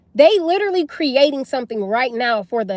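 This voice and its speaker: Loud and animated, a woman's voice swings very widely in pitch on a very clean recording with a silent background and a dry, close sound without echo. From US South. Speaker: livestreamer. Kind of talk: live stream chat. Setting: livestream.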